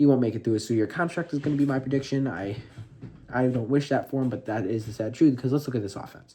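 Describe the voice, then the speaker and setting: At a very fast pace, a man speaks with a medium pitch, ordinary pitch variation and a dark, mellow tone. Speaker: football content creator. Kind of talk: casual video commentary.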